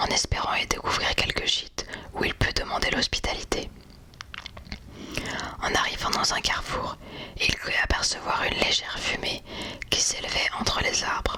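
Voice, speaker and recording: Whispering at a moderate pace with very even loudness, a woman leaves long, frequent pauses amid noticeable background noise. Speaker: ASMR creator. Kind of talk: literary audiobook-style reading of a classic novel. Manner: whispered.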